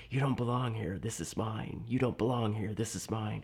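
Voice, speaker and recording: A man does a raspy put-on character voice at medium pitch and a moderate pace, with noticeable background noise behind him. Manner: whispered, quiet, repetitive.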